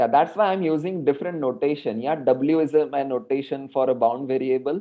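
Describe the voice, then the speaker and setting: Medium in pitch, this man has a normal speaking voice. His pitch variation is ordinary. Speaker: mathematics lecturer. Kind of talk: online lecture.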